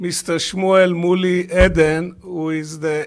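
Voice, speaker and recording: The pace is very slow and the intonation fairly even. The background is quiet. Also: man. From Israel. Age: 70s. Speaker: business leader; panelist. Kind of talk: press conference statement. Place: hall. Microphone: podium.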